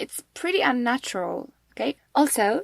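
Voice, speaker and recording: A woman speaks at a high pitch, with a dry, close sound and no echo. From Poland. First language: Polish. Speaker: English teacher, podcast host. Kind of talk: tutorial. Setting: home recording at midnight, quiet. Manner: clear, careful pronunciation.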